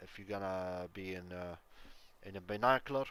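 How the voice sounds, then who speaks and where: A man's fairly low voice with an Arabic accent, at a fairly slow pace with fairly even intonation. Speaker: gaming YouTuber. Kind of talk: tutorial. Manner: halting, many fillers.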